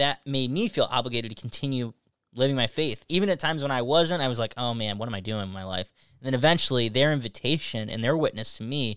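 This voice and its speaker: A man with an upstate New York accent, medium pitch, ordinary pitch variation and a bright, sharp tone at a very fast pace, in a very clean, dry, close recording with no echo and a silent background. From upstate New York, Syracuse area. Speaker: youth minister and podcast host. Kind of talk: casual interview.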